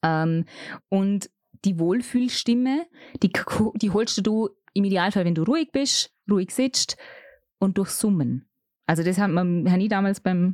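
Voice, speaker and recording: At a moderate pace with long, frequent pauses, a woman speaks at medium pitch with ordinary pitch variation and very even loudness, recorded dry and close with no echo. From Austria, Vorarlberg (Bregenzerwald). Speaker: radio and event presenter. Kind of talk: casual interview chat.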